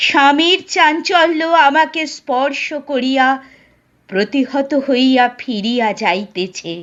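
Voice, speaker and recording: In a put-on character voice, the speaker sounds quiet and strained, with lively intonation and a very slow pace. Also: woman, high pitch for a woman. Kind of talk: literary Bengali audiobook reading. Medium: read story. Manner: quiet, grave, restrained.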